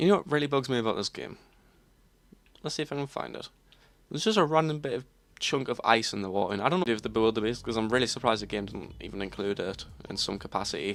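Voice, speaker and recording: A man with an English accent at a medium pitch, very fast pace, long and frequent pauses, and lively intonation, on a very clean recording with a silent background. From England. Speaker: gaming streamer. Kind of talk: casual live stream commentary.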